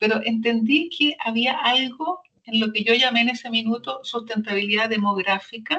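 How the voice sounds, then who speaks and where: With a bright, sharp tone, a woman speaks at a moderate pace in a fairly high pitch with lively intonation. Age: 70s. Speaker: social entrepreneur. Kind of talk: interview testimony. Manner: halting, many repetitions.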